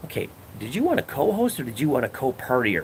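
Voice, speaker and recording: A man with a Chicago accent speaks with lively intonation. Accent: Midwestern US (Chicago area). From northern Illinois (McHenry County). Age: 60s. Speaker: livestreamer and former radio host and comedian. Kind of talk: casual livestream chat. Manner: casual, profane storytelling.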